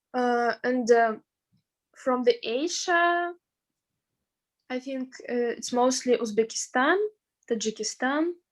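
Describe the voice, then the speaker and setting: Very slow speech in a Russian accent, with ordinary pitch variation and long, frequent pauses. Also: woman, high pitch for a woman. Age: 20s. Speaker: veterinary student. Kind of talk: interview. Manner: halting.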